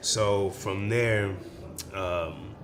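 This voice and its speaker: Through audible room echo, a man speaks with a very deep, low voice. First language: Spanish. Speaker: musician and arts event founder. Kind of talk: interview. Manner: casual, slangy.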